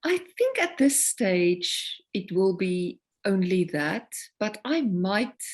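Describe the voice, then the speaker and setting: Speaking very slowly in a South African accent, a woman uses a medium pitch and lively intonation. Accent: South African (Afrikaans) English. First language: Afrikaans. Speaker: singer-songwriter. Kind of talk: interview conversation.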